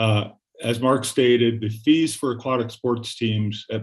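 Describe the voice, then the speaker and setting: A man with fairly even intonation over a quiet background. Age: 60s. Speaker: public commenter, rowing club member. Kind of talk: public comment at council meeting. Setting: city council meeting. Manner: blunt.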